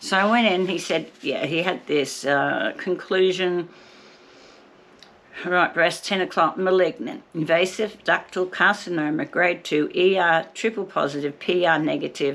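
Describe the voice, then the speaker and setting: Talking at a fairly slow pace, a woman with a normal speaking voice uses medium pitch and lively intonation. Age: 60s. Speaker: vlogger documenting her cancer journey. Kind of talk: personal vlog.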